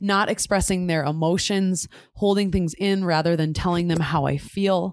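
An American accent comes through in a plain, everyday voice. The pace is moderate and the intonation fairly even. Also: woman. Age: 20s. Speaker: podcast co-host. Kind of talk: casual chat.

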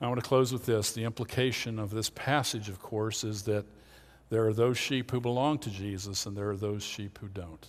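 With an American accent, a man uses an ordinary speaking voice at medium pitch and fairly even intonation, in a very clean recording with a silent background. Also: moderate pace. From Pennsylvania, Lancaster County. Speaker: pastor. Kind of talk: sermon.

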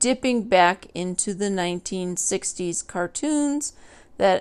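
In a very clean recording with a silent background, a woman uses an ordinary speaking voice at a medium pitch, talking fairly slowly with lively intonation. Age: 30s. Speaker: solo podcaster. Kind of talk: casual monologue.

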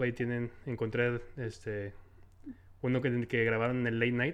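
An ordinary speaking voice, a man at a medium pitch talks at a moderate pace over a quiet background. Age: 20s. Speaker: podcast host. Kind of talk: casual interview. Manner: frequent fillers and laughter.

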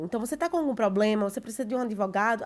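Lively intonation from a woman on a very clean recording with a silent background. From Recife, Brazil. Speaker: expat content creator. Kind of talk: casual chat.

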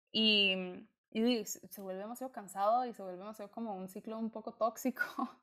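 On a very clean recording with a silent background, a woman with a Costa Rican accent speaks at a moderate pace with fairly even intonation. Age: 20s. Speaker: student and skin-condition blogger. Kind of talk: casual chat.

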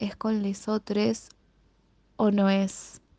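A dark, mellow tone with a Rioplatense accent, flat monotone intonation, and a very slow pace. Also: woman, dry, close sound with no echo. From Buenos Aires, Argentina. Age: 20s. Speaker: secondary school language and literature teacher. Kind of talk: recorded personal answers to interview questions.

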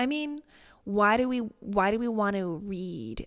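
A woman with an American accent speaks at a very slow pace, with medium pitch and lively intonation. The recording is very clean, with a silent background. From US Midwest. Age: 30s. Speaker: business coach and podcast host. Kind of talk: solo podcast monologue. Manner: casual, conversational.

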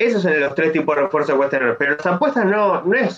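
This man speaks with a high pitch. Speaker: economist. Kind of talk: casual chat. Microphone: bad internet connection.

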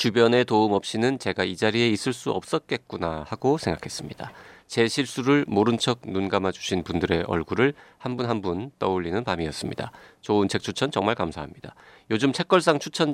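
In an unremarkable speaking voice, a man talks at a fairly quick pace with lively intonation and fairly low pitch, recorded with a dry, close sound with no echo. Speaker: podcast host. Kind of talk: casual chat.

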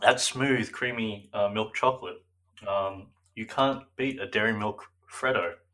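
This man has an Australian accent and a medium pitch with a bright, sharp tone. He speaks fairly slowly, with fairly even intonation. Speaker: podcast co-host. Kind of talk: casual chat.

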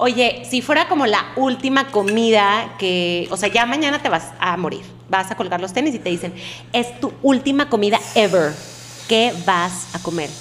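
Noticeable background noise accompanies a woman at medium pitch. She speaks fairly slowly with very wide pitch swings. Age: 30s. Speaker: psychologist. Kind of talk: casual chat.

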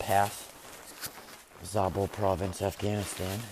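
Speaking at a fairly slow pace, a man with a fairly low pitch and a Massachusetts accent is heard over noticeable background noise. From Massachusetts, suburbs of Boston. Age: 30s. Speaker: farmer and military veteran podcaster. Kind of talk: casual monologue. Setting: barn while cleaning stalls.

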